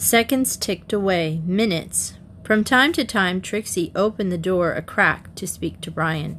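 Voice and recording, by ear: A natural voice reading aloud, its pitch variation ordinary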